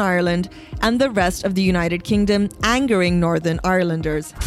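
Music sounds behind the speaker. She is a woman. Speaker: podcast host. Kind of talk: formal news reading, scripted press-review bulletin. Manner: measured, even and neutral newsreader delivery; crisp, steady pace with clear enunciation.

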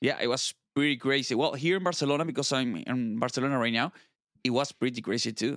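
A man with an Argentine accent talks at a very fast pace and a medium pitch, with ordinary pitch variation. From Argentina. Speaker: software architect. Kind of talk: casual interview. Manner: animated, laughs often.

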